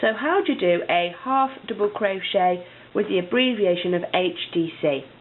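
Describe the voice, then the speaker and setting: Speaking with a British accent, a woman keeps a medium pitch, lively intonation, a moderate pace and very even loudness. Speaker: crochet instructor. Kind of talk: tutorial.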